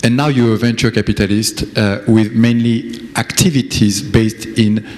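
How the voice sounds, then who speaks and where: Noticeable background noise accompanies a man with a French accent who speaks at a medium pitch and moderate pace, with fairly even intonation and very even loudness. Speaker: conference president and interviewer. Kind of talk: conference interview. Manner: halting.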